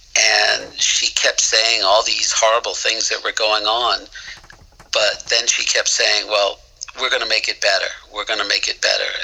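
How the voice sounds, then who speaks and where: The man speaks at a moderate speed. Behind him, background noise is noticeable. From Boston area, US. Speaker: musician and songwriter.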